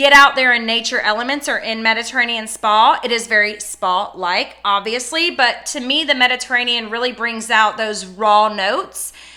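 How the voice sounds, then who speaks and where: A woman with a fairly high pitch talks at a moderate pace in an animated tone, her pitch varying in an ordinary way, with hardly any pauses and noticeable background noise. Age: 30s. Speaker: small business owner reviewing fragrance products. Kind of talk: casual product review vlog. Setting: home office.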